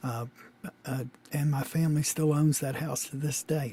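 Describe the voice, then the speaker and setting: His intonation is monotone and flat. The man speaks at a fairly slow pace. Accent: Louisiana. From US South, Shreveport, Louisiana. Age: 60s. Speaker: interviewee, father. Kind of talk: oral history interview. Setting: recorded conversation with daughter. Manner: halting, many fillers.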